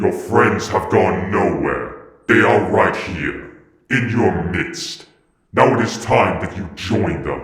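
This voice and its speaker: A man puts on a raspy character voice at a medium pitch. He speaks at a very slow pace, and a clear echo surrounds him. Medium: read story. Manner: solemn, ominous.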